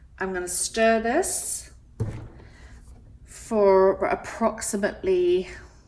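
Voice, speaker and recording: A woman speaks with an English accent. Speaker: resin artist. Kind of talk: tutorial. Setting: home studio. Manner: casual, chatty.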